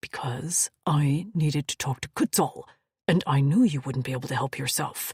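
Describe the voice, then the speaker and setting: At a moderate pace, a man performs a put-on character voice with fairly high pitch. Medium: read story. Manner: commanding, dry.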